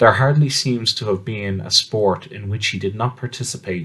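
Speaking in a normal speaking voice, a man uses a fairly low pitch and ordinary pitch variation at a fairly slow pace. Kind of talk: audiobook-style reading aloud of a scholarly essay on literary history. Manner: measured, formal, clearly enunciated academic delivery.

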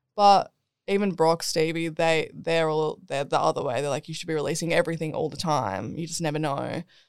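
A very deep, low female voice in an Australian accent, at a fairly quick pace, with ordinary pitch variation, big swings in loudness and a very clean, silent background. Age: 20s. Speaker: DJ and singer-songwriter. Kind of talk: casual chat. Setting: studio.

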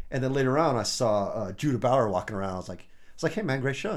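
With an American accent, a man at medium pitch talks at a very fast pace, his pitch swinging very widely. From US Midwest, Champaign, Illinois. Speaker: rock drummer. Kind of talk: casual chat.

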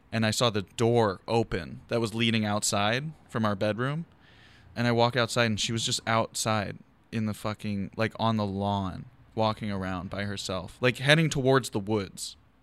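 Recorded very cleanly with a silent background, a man with an American accent and a normal speaking voice talks at a moderate pace, his fairly low pitch showing ordinary variation. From Philadelphia, West Philly. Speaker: comedian podcast host. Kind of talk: casual chat. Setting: garage.

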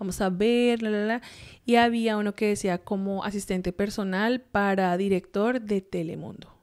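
A woman with an unremarkable speaking voice talks at a medium pitch and a moderate pace, her intonation fairly even. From Colombia. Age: 30s. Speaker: US Air Force officer. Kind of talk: casual interview.

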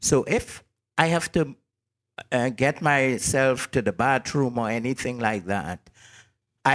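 Recorded very cleanly against a silent background, a man's medium-pitched voice with ordinary pitch variation comes through dry and close with no echo. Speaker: radio host, blind. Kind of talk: casual chat.

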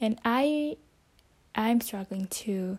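In a dark, mellow tone, a woman talks with a non-native accent. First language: not English. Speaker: podcaster. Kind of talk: solo casual monologue. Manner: halting.

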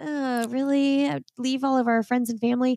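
A high-pitched woman with a Midwestern US accent at a moderate pace, in a very clean, dry, close recording with a silent background and no echo. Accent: US Midwest. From Indiana, US Midwest. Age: 30s. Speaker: podcast host and running coach. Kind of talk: casual chat.

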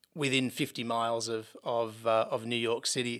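A man speaks in an Australian accent. The recording is very clean, with a silent background. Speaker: software company founder and CEO. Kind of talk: interview.

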